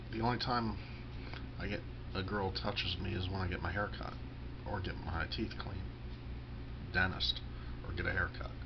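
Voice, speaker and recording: Noticeable background noise sits behind a man's voice. He talks at a fairly quick pace with long, frequent pauses. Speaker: vlogger. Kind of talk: casual monologue vlog. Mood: self-deprecating, candid. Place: home room. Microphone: webcam.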